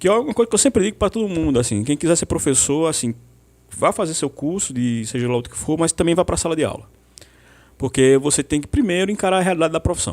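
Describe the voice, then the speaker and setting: With lively intonation and a fairly high pitch, a man speaks at a very fast pace in a dry, close sound with no echo. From Brazil, Pernambuco (Santa Cruz). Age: 40s. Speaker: history teacher. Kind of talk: podcast interview.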